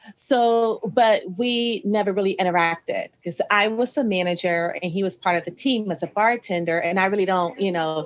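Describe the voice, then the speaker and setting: With an American accent, a woman with an ordinary speaking voice talks at a moderate pace and medium pitch, her intonation lively and hardly any pauses in between. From Ohio, US Midwest. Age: 40s. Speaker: podcast host, restaurant manager. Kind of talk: casual interview chat. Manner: conversational, frequent fillers.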